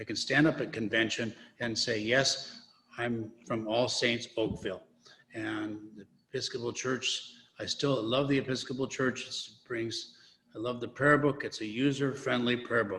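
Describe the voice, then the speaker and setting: With an American accent, a man of medium pitch talks in a bright, sharp tone and fairly even intonation. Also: moderate pace. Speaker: priest. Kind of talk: testimony.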